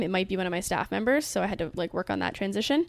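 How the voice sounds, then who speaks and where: A woman speaks at a medium pitch with a Canadian accent. The recording is very clean, with a silent background. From Canada. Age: 20s. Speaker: entrepreneur. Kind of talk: casual interview.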